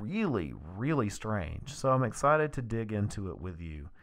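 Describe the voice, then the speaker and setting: A man at a fairly slow pace with very wide pitch swings, on a very clean recording with a silent background. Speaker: true crime podcast host. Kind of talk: podcast narration. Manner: casual, conversational.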